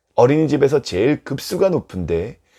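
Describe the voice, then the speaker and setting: His pitch is fairly high for a man and swings very widely. He keeps a moderate pace. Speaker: pastor. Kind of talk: sermon. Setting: video recorded for online channel.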